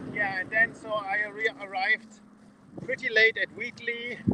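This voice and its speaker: A man in a German accent speaks with a raised, projected voice at a fairly slow pace, over noticeable background noise. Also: dry, close sound with no echo. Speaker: leadership coach cycling around the world. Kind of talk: video diary vlog. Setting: outdoors. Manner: halting, many fillers.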